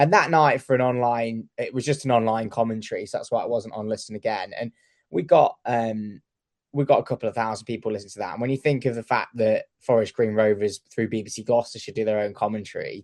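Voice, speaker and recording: With a Staffordshire accent, a man talks at a very fast pace in a medium pitch, his intonation fairly even and the sound dry and close with no echo. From Staffordshire, English Midlands. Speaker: radio sports editor. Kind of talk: podcast interview.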